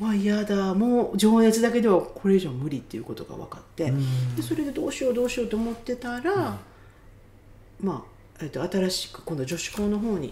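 Over noticeable background noise, a woman with a fairly high pitch talks at a fairly quick pace, with very wide pitch swings and big swings in loudness. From Japan. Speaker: healer. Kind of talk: casual interview. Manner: animated.

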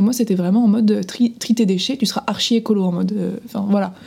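An unremarkable speaking voice from a woman, medium in pitch, with ordinary pitch variation. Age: 20s. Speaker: podcast co-host. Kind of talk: casual chat.

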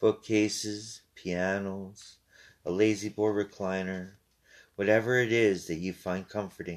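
Against a quiet background, a man with a fairly low pitch speaks at a fairly slow pace in a soothing, calm tone and a monotone, flat intonation. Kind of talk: guided meditation. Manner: slow, soft, soothing and calm; unhurried with long pauses between instructions.

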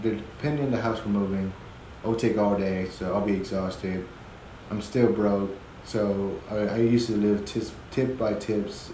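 With audible room echo, a man talks at a moderate pace in a somewhat breathy, fairly low-pitched voice. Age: 20s. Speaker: father sharing his experiences; podcaster. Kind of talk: casual chat.

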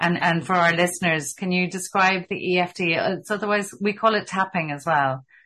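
A woman with an Irish accent, hardly any pauses and fairly even intonation. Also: fairly low pitch for a woman, moderate pace, quiet background. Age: 50s. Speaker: podcast host. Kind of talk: interview conversation.

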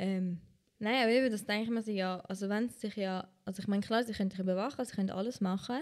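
Very fast speech with fairly even intonation. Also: woman, medium pitch for a woman. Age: 20s. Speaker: podcast host. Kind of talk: casual chat.

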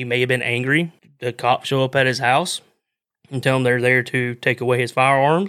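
On a very clean recording with a silent background, a man with a Southern US accent speaks at a medium pitch and a moderate pace. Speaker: outdoors podcast host. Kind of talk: casual monologue. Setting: live stream.

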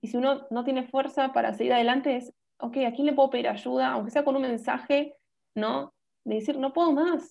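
A woman with a high voice talks at a fairly quick pace, keeping her intonation fairly even. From Buenos Aires, Argentina. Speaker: nutritionist and dancer. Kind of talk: interview, informative chat.

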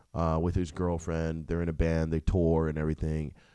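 In an American accent, a man speaks with a very deep, low pitch and a dark, mellow tone on a very clean recording with a silent background. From US Northeast, New Jersey suburbs. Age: 20s. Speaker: comedian, podcast host. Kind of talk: casual monologue.

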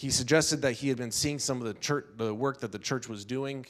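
At a fairly quick pace, a man talks in a normal speaking voice at medium pitch with fairly even intonation. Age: 50s. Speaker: pastor. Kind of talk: sermon. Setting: church.

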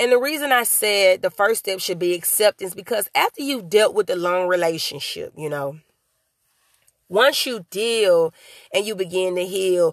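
A woman speaks in a normal speaking voice at a medium pitch and moderate pace, with lively intonation. The sound is dry and close, with no echo. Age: young. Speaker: motivational podcast host and author. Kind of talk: solo motivational talk. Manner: casual, conversational.

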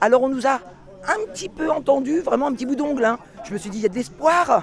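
A woman talks at a moderate pace in a high pitch with very wide pitch swings. Her tone is animated, and noticeable background noise is present. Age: 50s. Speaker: yellow vest protester. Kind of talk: street interview, impassioned.

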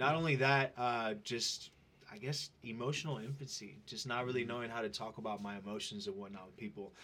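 A man with a bright, sharp tone and medium pitch talks at a fairly quick pace, his intonation lively and his loudness swinging widely. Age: 30s. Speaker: fitness trainer and social media influencer. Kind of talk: casual interview.

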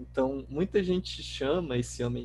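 A man talks at a fairly slow pace. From Brazil, Mato Grosso (Pontes e Lacerda) and Natal. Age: 20s. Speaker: author. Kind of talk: casual interview.

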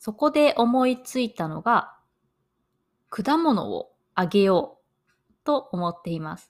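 This woman's fairly high voice swings very widely in pitch and greatly in loudness. She talks very slowly with long, frequent pauses, on a very clean recording over a silent background. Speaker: podcast host, Japanese language teacher. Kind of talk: learner podcast monologue. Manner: slow and clear.

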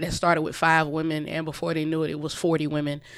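A woman speaks very fast with a Southern US accent. Her very deep, low voice stays monotone and flat. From South Carolina, US South (Orangeburg). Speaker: author. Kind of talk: radio interview.

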